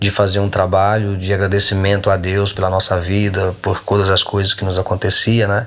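A man with a fairly low pitch talks at a moderate pace while noticeable background noise carries on around him. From Brazil, Minas Gerais (Coronel Fabriciano). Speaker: singer-songwriter. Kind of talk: casual interview chat.

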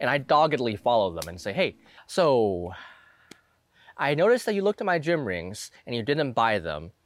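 Music plays in the background. The voice moves through very wide pitch swings. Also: man. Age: 20s. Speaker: fitness youtuber. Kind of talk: casual monologue.

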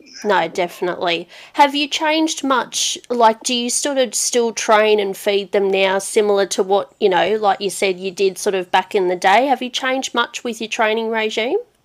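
A woman talks at a moderate pace with an Australian accent, and she hardly pauses at all. Her pitch varies in an ordinary way. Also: fairly high pitch for a woman. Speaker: podcast host, racing interviewer. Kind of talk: casual interview.

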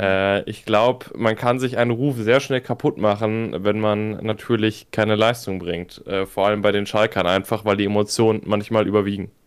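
A man in an unremarkable speaking voice, fairly low in pitch, with fairly even intonation, a moderate pace and hardly any pauses. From Münsterland, Germany. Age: 20s. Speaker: football fan club member. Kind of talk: casual chat.

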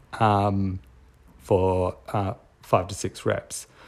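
A man with an Australian accent and a fairly low pitch. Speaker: podcast host and strength coach. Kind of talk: solo podcast monologue. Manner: casual with frequent filler words.

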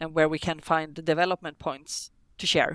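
A woman with a Swedish accent speaks fairly quickly in a fairly low voice, recorded dry and close with no echo and a very clean, silent background. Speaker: business developer. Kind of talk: casual chat.

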